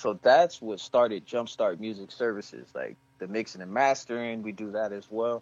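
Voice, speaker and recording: A plain, everyday voice moves at a moderate pace, with ordinary pitch variation and big swings in loudness. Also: man, medium pitch for a man. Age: 40s. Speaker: rapper and music services entrepreneur. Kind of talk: casual interview.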